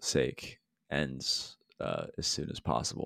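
A man speaks with an American accent. His voice carries vocal fry. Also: very clean recording, silent background. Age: 30s. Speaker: podcast co-host. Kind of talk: casual interview.

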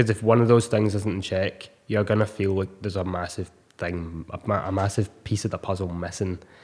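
A man with a Scottish accent talks fairly quickly in a fairly low voice. His intonation is flat and monotone, with hardly any pauses. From Scotland, Ayr. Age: 20s. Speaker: personal trainer. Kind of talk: casual chat.

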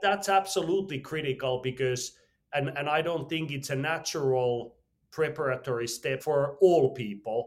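Speaking in a Finnish accent, a man has a fairly high-pitched voice. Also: ordinary pitch variation, moderate pace. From Finland. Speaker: entrepreneur and mountaineer. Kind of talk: interview.

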